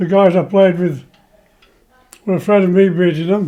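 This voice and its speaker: Intonation stays monotone and flat as a man talks at a fairly slow pace. His pitch is high. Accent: English. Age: 90s. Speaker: retired train driver, cancer patient. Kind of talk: personal testimony interview.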